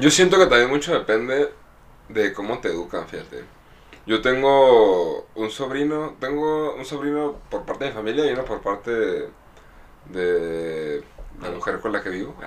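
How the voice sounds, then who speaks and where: A man with a medium pitch talks at a moderate pace, using lively intonation. He leaves long, frequent pauses. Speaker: podcast co-host. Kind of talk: casual chat.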